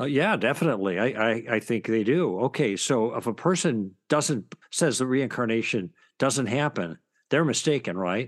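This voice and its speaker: With an ordinary speaking voice, a man at medium pitch talks at a moderate pace with lively intonation. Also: quiet background. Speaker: author and former broadcaster. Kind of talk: interview about his book.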